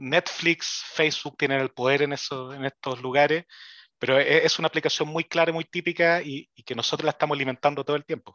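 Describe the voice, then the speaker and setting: A man with a Chilean accent speaks at a fairly high pitch with fairly even intonation and big swings in loudness. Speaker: engineering professor. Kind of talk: casual chat. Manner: halting.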